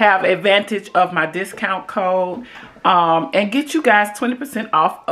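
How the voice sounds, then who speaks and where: A woman's voice with ordinary pitch variation. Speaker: vlogger. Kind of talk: casual vlog chat. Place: kitchen. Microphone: phone near.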